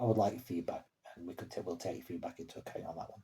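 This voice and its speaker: This man's voice is very deep and low, with a dark, mellow tone. It sounds somewhat breathy, and the pitch varies in an ordinary way. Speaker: horror story channel co-owner and writer. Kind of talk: casual vlog update to viewers. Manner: halting with fillers and stammers.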